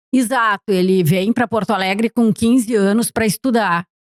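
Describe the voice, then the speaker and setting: In a plain, everyday voice, a woman at medium pitch talks at a moderate pace with ordinary pitch variation, on a very clean recording with a silent background and a dry, close sound with no echo. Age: 60s. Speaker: documentary filmmaker. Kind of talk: podcast interview.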